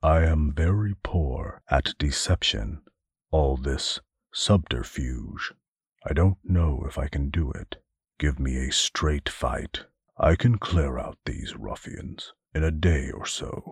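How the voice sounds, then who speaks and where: A man puts on a character voice with a very deep, low pitch, delivering it at a fairly slow pace. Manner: formal, stiff, pained.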